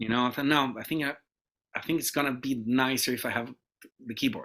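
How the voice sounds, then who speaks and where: A man with a Portuguese accent, medium in pitch and bright and sharp in tone, at a very fast pace with fairly even intonation, in a very clean recording with a silent background. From Brazil. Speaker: guitarist. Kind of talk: interview. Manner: halting.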